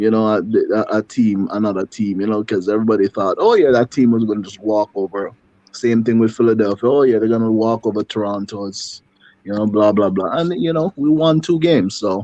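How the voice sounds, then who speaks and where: A man speaks at a fairly quick pace with a slight Jamaican accent, his pitch fairly low and his tone dark and mellow. The sound is dry and close, with no echo. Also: ordinary pitch variation. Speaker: football commentator. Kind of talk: casual chat. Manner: halting, many fillers and repetitions.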